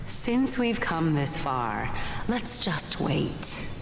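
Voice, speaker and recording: A put-on character voice goes along at a very slow pace over loud background noise. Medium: game stream. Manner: wistful, lyrical.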